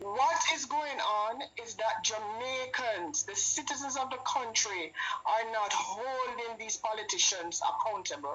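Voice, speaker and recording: Someone speaks at a fairly slow pace with music in the background. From Jamaica. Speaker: caller to a live stream show. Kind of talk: political call-in rant. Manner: impassioned, emphatic.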